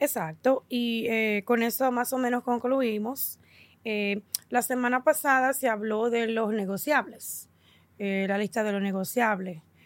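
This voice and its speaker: On a very clean recording with a silent background, a woman talks at a fairly high pitch. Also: ordinary pitch variation, fairly slow pace. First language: English (speaking Spanish). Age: 40s. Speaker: podcast host. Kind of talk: casual chat.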